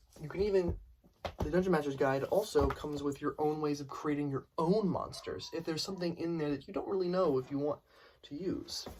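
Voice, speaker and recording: Noticeable background noise surrounds a man with a fairly high pitch. He talks at a fairly quick pace with fairly even intonation. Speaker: student. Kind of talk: class presentation infomercial.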